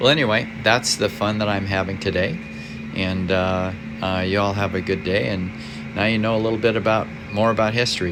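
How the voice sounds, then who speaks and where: Over noticeable background noise and audible room echo, a man with a fairly low pitch speaks at a fairly quick pace with ordinary pitch variation. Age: 70s. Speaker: amateur radio operator. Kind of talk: equipment tour. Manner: halting; casual.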